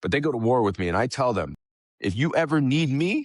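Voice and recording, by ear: A man talks at a fairly quick pace with lively intonation.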